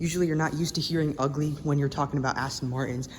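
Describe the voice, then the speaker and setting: Against noticeable background noise, a man with a fairly high voice speaks with fairly even intonation. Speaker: car vlogger. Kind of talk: walkaround vlog. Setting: car dealership showroom. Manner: fast.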